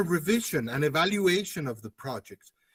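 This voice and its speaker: A man with a normal speaking voice talks at a moderate pace with lively intonation. The sound is dry and close, with no echo. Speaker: academic conference speaker. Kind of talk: conference presentation.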